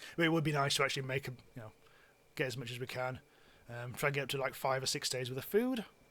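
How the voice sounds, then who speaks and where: Speaking at a very fast pace with long, frequent pauses, a man uses a medium pitch and a bright, sharp tone. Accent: British. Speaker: game streamer. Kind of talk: live gameplay stream commentary. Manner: halting, many fillers.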